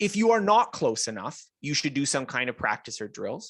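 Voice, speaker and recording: A man with a Canadian accent at a moderate pace, in a dry, close sound with no echo. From English Canada. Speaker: author and self-learning expert. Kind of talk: interview.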